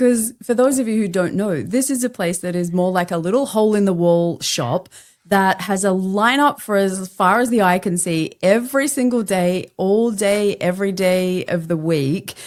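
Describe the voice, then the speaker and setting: A woman with an Australian accent, medium pitch and ordinary pitch variation, at a moderate pace with hardly any pauses, on a very clean recording with a silent background. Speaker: podcast host and LinkedIn coach. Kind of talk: casual chat. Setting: podcast interview.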